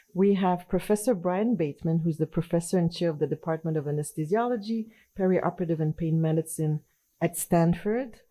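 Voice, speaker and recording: A woman with a slight French accent speaks fairly quickly, with a fairly low pitch, a dark, mellow tone, and very even loudness. The recording is very clean, with a silent background. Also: ordinary pitch variation. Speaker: anesthesiology professor and journal editor. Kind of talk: conference presentation. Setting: conference session with audience.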